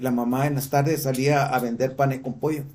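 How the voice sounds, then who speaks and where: The voice has a dark, mellow tone and is somewhat breathy. It moves at a moderate pace with audible room echo. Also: man. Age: 60s. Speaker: church teacher. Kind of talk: lecture. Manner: halting.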